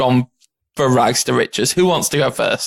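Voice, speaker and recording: A man with a plain, everyday voice, moderate pace and ordinary pitch variation, in a dry, close sound without echo. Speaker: film podcast co-host. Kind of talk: casual chat.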